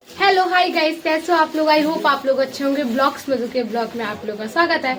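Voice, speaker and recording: Against noticeable background noise, a woman with a high pitch and ordinary pitch variation talks at a fairly quick pace in an animated tone. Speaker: vlogger. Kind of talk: casual vlog narration. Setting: family anniversary party at home. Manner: chatty, animated.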